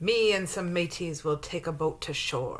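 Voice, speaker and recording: A woman's gruff, put-on character voice, fairly low in pitch, at a moderate pace. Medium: read story. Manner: gruff pirate talk.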